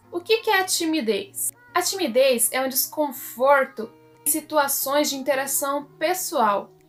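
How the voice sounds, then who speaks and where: A woman's high-pitched voice at a fairly slow pace, with lively intonation and music in the background. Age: 20s. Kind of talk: casual talk to camera.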